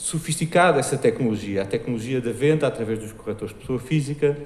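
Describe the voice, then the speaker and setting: With a European Portuguese accent, a man talks at a fairly quick pace in a medium pitch, his somewhat breathy voice showing ordinary pitch variation against audible room echo. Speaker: marketing director. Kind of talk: conference talk. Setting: stage with audience. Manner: fast.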